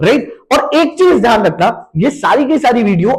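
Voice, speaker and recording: A man is speaking. His pitch swings very widely. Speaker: digital marketing trainer. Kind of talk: online class tutorial.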